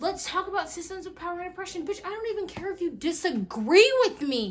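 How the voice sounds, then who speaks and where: A woman's animated, extremely high voice at a very fast pace, with lively intonation and big swings in loudness. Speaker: vlogger. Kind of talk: casual chat.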